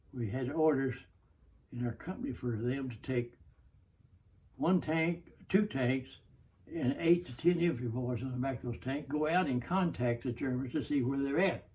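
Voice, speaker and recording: A man with an Oklahoma accent, medium pitch and a somewhat breathy voice, at a moderate pace with ordinary pitch variation and long, frequent pauses. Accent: Southern American (Oklahoma). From Oklahoma, USA. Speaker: WW2 tank commander veteran. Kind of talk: interview answer.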